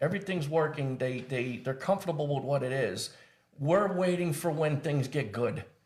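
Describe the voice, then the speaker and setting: Noticeable background noise sits behind a man speaking at a moderate pace. His voice is fairly high, with ordinary pitch variation. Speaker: Marine veteran and wellness coach. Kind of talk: casual interview conversation. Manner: loud; halting, repeats words.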